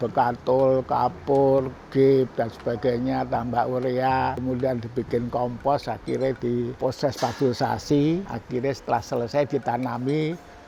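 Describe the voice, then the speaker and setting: Over noticeable background noise, a man talks at a fairly slow pace and medium pitch, his monotone, flat intonation matched by very even loudness and hardly any pauses. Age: 80s+. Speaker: business founder. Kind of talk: interview storytelling.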